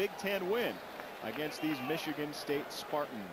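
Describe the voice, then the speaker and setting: Noticeable background noise runs through the clip. Over it, a man talks at a moderate pace, his pitch varying in an ordinary way. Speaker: play-by-play sports commentator. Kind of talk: live sports commentary. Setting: stadium broadcast booth.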